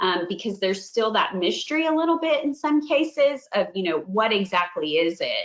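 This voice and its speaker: A woman's voice with lively intonation. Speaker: franchise marketing director. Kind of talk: webinar presentation. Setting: online webinar. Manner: fast.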